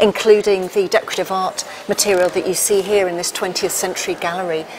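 Noticeable background noise runs through the clip. The speaker talks at a fairly quick pace. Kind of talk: interview answer. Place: hall.

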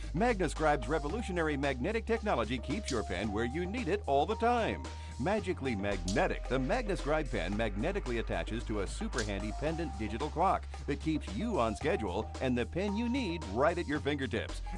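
An upbeat, enthusiastic man at a fairly quick pace with hardly any pauses, music in the background. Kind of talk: infomercial voice-over.

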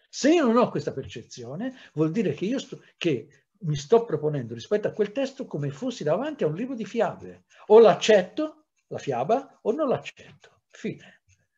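Speaking at a moderate pace, a man uses a high voice with a dark, mellow tone and very wide pitch swings. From Italy, Livorno; Italy. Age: 60s. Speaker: historian; historian lecturing teachers. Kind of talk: lecture. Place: home room. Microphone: webcam.

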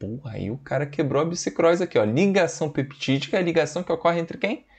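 A man talks in an animated tone with a quiet background behind him. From Brazil, Espírito Santo (Vila Velha); Espírito Santo, Brazil. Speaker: biology teacher. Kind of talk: lecture.

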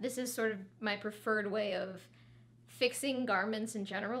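A woman's moderate-paced speech with ordinary pitch variation. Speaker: fashion tutor. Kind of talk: tutorial. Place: studio.

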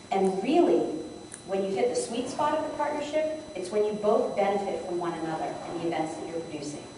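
Amid noticeable background noise and strong room echo, a woman talks at a fairly quick pace with very wide pitch swings. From New England. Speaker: conference presenter, event sales executive. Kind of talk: conference session talk with audience interaction. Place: hall. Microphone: camera far.

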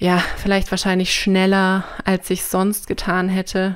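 Recorded very cleanly over a silent background, a woman speaks at a moderate pace in a medium pitch. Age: 30s. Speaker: podcast guest with chronic back problems. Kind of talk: personal testimony in interview.

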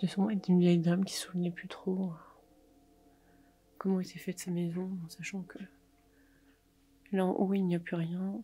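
A woman's fairly low, dark, mellow voice with a slightly husky edge, little pitch movement, a moderate pace and long, frequent pauses

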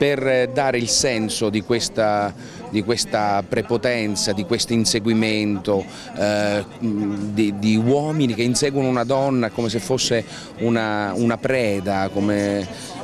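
Amid noticeable background noise, a man with a fairly low pitch speaks at a very slow pace, with fairly even intonation and very even loudness. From Sicily. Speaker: stage actor and director. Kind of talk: interview answer. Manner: hesitant, many fillers.

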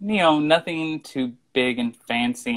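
Pitch variation stays ordinary. The background is quiet. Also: man. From US Midwest/South, southeast Missouri. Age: 30s. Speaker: screenwriter; interview guest. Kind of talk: casual interview. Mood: friendly, animated. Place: home room. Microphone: video call.

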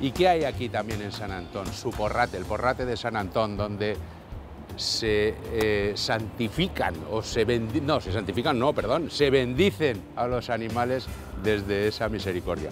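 Over music in the background, the voice moves at a fairly slow pace with ordinary pitch variation in a dry sound with no echo. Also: man. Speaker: neighbourhood show host. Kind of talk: presenter commentary. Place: street.

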